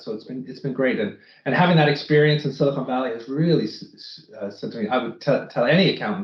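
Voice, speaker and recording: Speaking very fast in an American accent, a man uses a fairly high, somewhat breathy voice with ordinary pitch variation. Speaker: finance executive. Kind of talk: interview.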